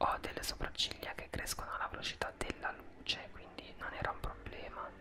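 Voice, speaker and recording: A man is soft-spoken. Loud background noise surrounds his voice. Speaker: vlogger. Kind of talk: casual vlog chat. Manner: soft close-mic ASMR speech. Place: home room. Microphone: studio mic.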